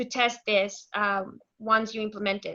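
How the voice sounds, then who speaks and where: A woman speaks with a Mexican accent in a bright, sharp tone. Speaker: software consultant and author. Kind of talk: technical demo presentation.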